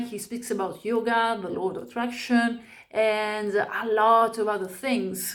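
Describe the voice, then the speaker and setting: With an Italian accent, a woman speaks at a fairly high pitch with ordinary pitch variation. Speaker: spiritual vlogger. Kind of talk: personal testimony. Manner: halting.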